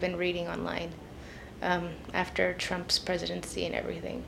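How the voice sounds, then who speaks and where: Here is a woman with an Idaho accent. Her voice sits at medium pitch and shows vocal fry. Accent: Idaho speech. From Idaho (Boise). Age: 20s. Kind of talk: interview, personal testimony.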